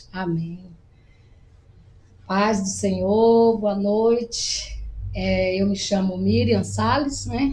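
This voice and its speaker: A woman talks at a very slow pace with long, frequent pauses. Her voice carries an audible room echo. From Bahia, Brazil (semi-arid interior). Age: 50s. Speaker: missionary. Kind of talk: interview testimony.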